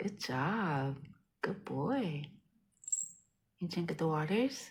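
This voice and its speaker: A soft-spoken, somewhat breathy woman at a fairly low pitch, with very wide pitch swings and a very slow pace. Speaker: pet owner reviewing a product. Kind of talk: casual talk to pet while demonstrating. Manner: talking low, soft-spoken.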